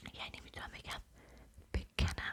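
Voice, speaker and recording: The voice is whispering. Its tone is soothing. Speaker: ASMR creator. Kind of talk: Persian ASMR talk, affectionate. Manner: whispered, soothing.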